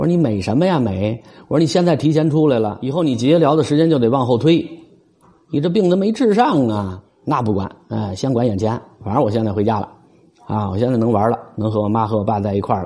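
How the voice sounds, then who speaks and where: A man talks at a very fast pace with a medium pitch and lively intonation over noticeable background noise. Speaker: podcaster, parent of a sick child. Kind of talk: casual monologue. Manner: hesitant, repetitive fillers. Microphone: close mic picks up swallowing.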